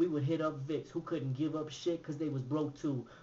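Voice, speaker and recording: A man speaks with a fairly high pitch and a somewhat breathy voice. His intonation stays fairly even over light background noise. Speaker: author and poet. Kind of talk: spoken word poetry performance. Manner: rhythmic, fast. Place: home room. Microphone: webcam.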